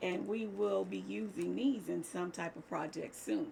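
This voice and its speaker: A woman at a moderate pace with vocal fry. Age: 70s. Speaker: crafting channel host. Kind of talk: casual vlog talk to viewers. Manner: chatty, hesitant fillers.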